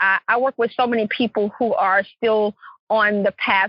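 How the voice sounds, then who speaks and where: A woman with a Louisiana accent speaks at a fairly slow pace in a fairly high voice. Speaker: clarity coach and entrepreneur. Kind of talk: podcast interview.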